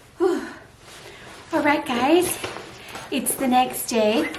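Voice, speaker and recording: Very slow American-accented speech with very wide pitch swings, noticeable background noise and audible room echo. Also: woman. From United States. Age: 30s. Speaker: vlogger. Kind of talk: casual vlog to camera.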